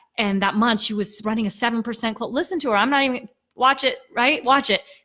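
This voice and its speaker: Very fast and animated, a woman speaks at a fairly high pitch in a bright, sharp tone with ordinary pitch variation. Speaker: sales coach. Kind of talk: livestream motivational pitch. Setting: live stream.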